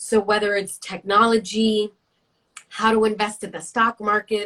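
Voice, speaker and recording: This woman has a New York accent and a fairly high voice. She speaks at a moderate pace. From New York City. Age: 30s. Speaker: career coach and network founder. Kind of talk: interview.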